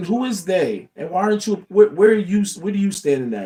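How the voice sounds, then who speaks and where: Over music in the background, a man talks loudly at a very fast pace in an animated tone with a high pitch. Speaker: motivational livestreamer. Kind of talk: motivational talk. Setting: livestream.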